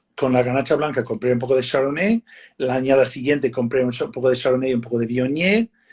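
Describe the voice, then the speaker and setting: Somewhat breathy, a man speaks at a very fast pace, his medium-pitched voice keeping fairly even intonation. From United States. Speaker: winemaker. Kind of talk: casual interview on a live stream. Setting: live video stream. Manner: halting, many fillers and repeats.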